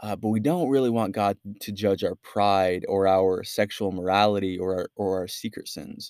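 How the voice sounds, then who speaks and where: The voice moves at a moderate pace with hardly any pauses and fairly even intonation, in a dry, close sound with no echo and a very clean recording with a silent background. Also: man, fairly low pitch for a man. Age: 20s. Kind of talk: casual faith discussion. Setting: in person. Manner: halting.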